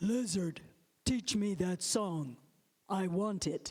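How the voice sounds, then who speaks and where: This put-on character voice sits at a middle pitch. It moves at a very slow pace. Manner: demanding, gruff.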